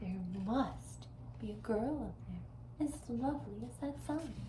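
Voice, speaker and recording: A woman's put-on character voice at a fairly slow pace, against loud background noise. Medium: read story.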